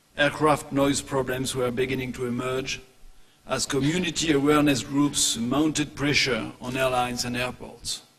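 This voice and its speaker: A man's flat, monotone voice at a medium pitch, with noticeable background noise. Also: moderate pace. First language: French. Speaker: aerospace industry executive. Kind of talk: conference presentation. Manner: formal.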